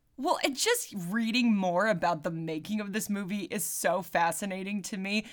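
A woman with a normal speaking voice talks at a moderate pace in a medium pitch with ordinary variation. She takes hardly any pauses. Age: 30s. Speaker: podcast co-host. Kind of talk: casual chat.

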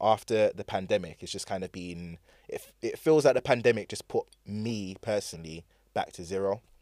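In a London accent, a man speaks at a moderate pace in a fairly low pitch with big swings in loudness, the sound dry and close with no echo in a very clean recording with a silent background. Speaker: DJ and DJ teacher. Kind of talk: casual chat. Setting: studio. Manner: soft-spoken.

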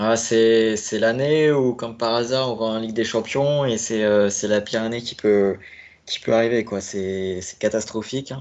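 A man at medium pitch with fairly even intonation. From Normandy, France (Caen). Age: 20s. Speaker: football fan, supporter-group founder. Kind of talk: casual chat. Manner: hesitant, many fillers.

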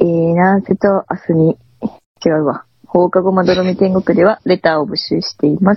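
Medium-pitched woman with monotone, flat intonation at a moderate pace. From Tohoku, Aomori Prefecture. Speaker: podcast co-host. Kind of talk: casual chat.

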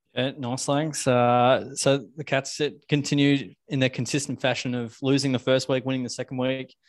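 With an Australian accent, a man at a medium pitch talks at a moderate pace in a monotone, flat intonation, with hardly any pauses over a quiet background. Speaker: football podcast co-host. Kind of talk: casual chat.

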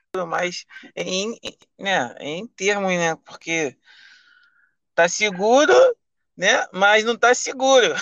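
A man speaks in a raised, projected voice at a high pitch with a bright, sharp tone. His intonation is lively, though his pace is very slow. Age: 20s. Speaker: rideshare driver. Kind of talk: casual chat. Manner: halting.

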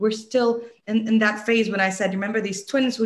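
A woman with an American accent speaks at a fairly high pitch, her voice somewhat breathy and her intonation fairly even. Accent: American-sounding English. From UAE (Dubai). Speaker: entrepreneur. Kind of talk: interview.

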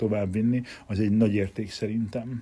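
This man talks at a very fast pace in a fairly low, dark, mellow voice with monotone, flat intonation. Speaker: martial arts instructor. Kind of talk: casual chat.

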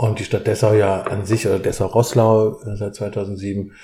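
The man's voice is fairly low, dark and mellow, somewhat breathy, and delivered with monotone, flat intonation. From southwestern Germany. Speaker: theatre director. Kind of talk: interview while cooking.

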